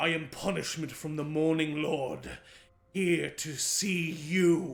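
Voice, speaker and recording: A man puts on a character voice, pitched fairly high and delivered fairly slowly. Audible echo surrounds the sound. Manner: menacing.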